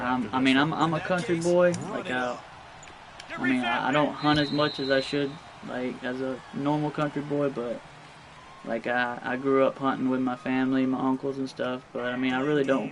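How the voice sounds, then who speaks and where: Noticeable background noise accompanies a man with an American accent who keeps a fairly even intonation. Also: medium pitch for a man, moderate pace. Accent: Southern US, sounds redneck. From North Florida, US South. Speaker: video game streamer. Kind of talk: casual chat while live-streaming gameplay. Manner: hesitant, many fillers and repetitions.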